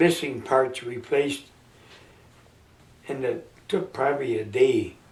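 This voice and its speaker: A man with an American accent and vocal fry, very slow, with ordinary pitch variation. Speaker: World War II Navy veteran. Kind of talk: interview answer.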